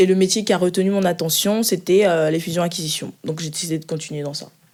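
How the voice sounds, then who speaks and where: A woman speaks at a fairly quick pace with a fairly low pitch and fairly even intonation. The recording is very clean, with a silent background. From Ivory Coast, moved to France at 11. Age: 20s. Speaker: finance analyst. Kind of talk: interview. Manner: hesitant, many fillers.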